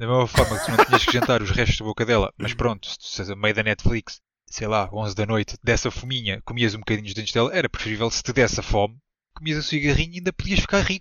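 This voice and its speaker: Words pour out of a man at a very fast clip. His pitch is medium and varies in an ordinary way. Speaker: podcast co-host. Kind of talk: casual chat.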